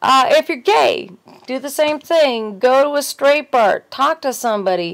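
Against a quiet background, a woman speaks at a high pitch with lively intonation. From US. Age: 40s. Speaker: video blogger with fibromyalgia. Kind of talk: casual monologue vlog. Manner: animated. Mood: earnest, opinionated. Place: home room. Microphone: webcam.

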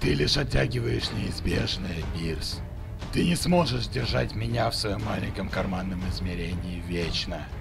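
Over loud background noise, a man puts on a character voice pitched very deep and low. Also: moderate pace. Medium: dub. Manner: threatening, mocking.

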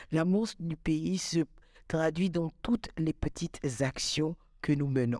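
Slow, very slow in pace, the voice has a dark, mellow tone and ordinary pitch variation, in a dry sound with no echo against a quiet background. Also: woman. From Gabon. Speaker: content creator. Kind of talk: motivational vlog monologue. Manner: animated. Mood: passionate, cheerful. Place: studio. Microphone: studio mic.

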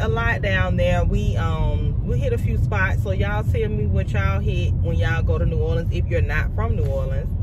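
A woman at a moderate pace, dry sound with no echo, loud background noise. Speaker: vlogger. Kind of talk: casual vlog chat. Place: car. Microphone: phone near.

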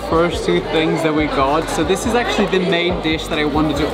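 A man speaks over loud music in the background. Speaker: food vlogger. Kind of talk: casual vlog chat. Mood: excited, amused. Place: cafe. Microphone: phone near.

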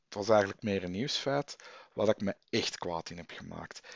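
In a dry sound with no echo, a man speaks at a fairly slow pace. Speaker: vlogger and comic fan. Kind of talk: angry rant. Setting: home recording, late, headset mic. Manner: indignant, worked up, sarcastic. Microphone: headset.

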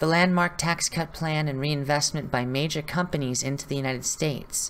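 At a fairly quick pace, a woman speaks with a very deep, low pitch and fairly even intonation. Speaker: political commentator. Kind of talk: political commentary to camera.

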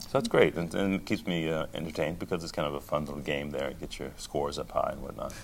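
Over light background noise, a man with a very deep, low pitch talks at a very fast pace with hardly any pauses and fairly even intonation. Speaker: opera singer, bass baritone. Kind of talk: interview answer. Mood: warm, reflective. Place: hall. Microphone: handheld.

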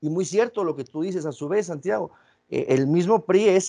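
Against a quiet background, a man speaks at a moderate pace with ordinary pitch variation. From Mexico. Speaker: philosopher and interviewer; interviewer. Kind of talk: interview. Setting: video call. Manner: halting, many repetitions. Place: home room. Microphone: video call.

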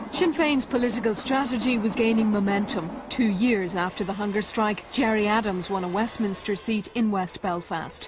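Over music in the background, a woman with a fairly high pitch speaks with hardly any pauses. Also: ordinary pitch variation, moderate pace. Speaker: documentary narrator. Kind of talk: documentary narration, scripted. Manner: measured, grave, even.

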